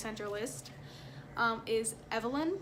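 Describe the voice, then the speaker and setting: Amid noticeable background noise and audible room echo, a woman with a fairly high pitch speaks at a fairly slow pace with lively intonation. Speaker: family vlogger. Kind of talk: casual vlog talk.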